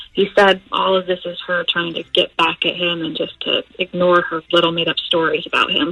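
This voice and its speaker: Over noticeable background noise, a woman talks at a moderate pace with hardly any pauses. Her fairly low voice is monotone and flat. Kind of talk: phone call to a radio show. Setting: phone line. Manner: conversational, explaining a family problem.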